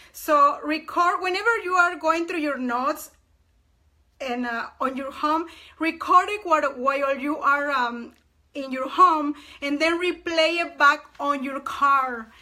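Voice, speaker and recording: A woman speaks in a raised, projected voice, high-pitched with a bright, sharp tone and ordinary pitch variation. Her pace is fairly slow, and her loudness swings widely. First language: not English. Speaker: live streamer. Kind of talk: casual live stream chat. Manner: halting, with repetitions.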